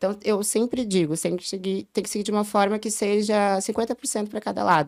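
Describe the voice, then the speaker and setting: In a very clean recording with a silent background, a woman uses a normal speaking voice at medium pitch with fairly even intonation. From southern Brazil, Porto Alegre. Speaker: early childhood educator. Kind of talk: podcast interview.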